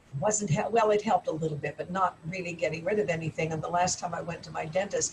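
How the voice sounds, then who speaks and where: The words come out very fast while background noise is clearly heard. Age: 70s. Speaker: author giving a testimonial. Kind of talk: testimony.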